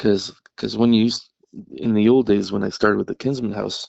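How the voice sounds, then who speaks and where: With a Franco-Ontarian accent, a man talks at a fairly quick pace. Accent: Franco-Ontarian Canadian English. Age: 50s. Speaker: graphic designer. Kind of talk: interview. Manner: halting.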